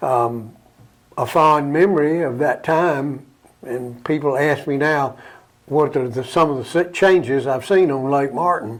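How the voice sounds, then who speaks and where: A man with an Alabama accent, a fairly high pitch, and a fairly slow pace. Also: ordinary pitch variation. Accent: Southern US (Alabama). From US South, Alabama. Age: 80s+. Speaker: local elder reminiscing about town history. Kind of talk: interview.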